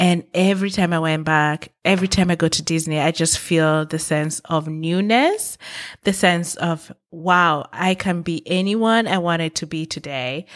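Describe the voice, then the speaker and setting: A woman's unremarkable speaking voice, fairly low in pitch and fairly slow, on a very clean recording with a silent background. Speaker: motivational podcast host. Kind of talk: motivational monologue. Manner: earnest, encouraging.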